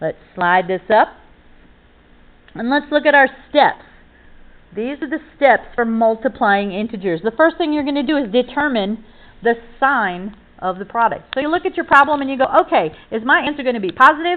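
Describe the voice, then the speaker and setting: A woman speaks in a high voice with an animated tone and lively intonation. Her pace is moderate, broken by long, frequent pauses. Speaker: math teacher. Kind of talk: tutorial.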